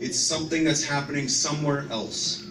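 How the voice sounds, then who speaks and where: With a Canadian accent, a man at a medium pitch talks at a fairly quick pace amid noticeable background noise and audible room echo. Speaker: police officer. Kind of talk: presentation. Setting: church hall with audience. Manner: loud, projecting.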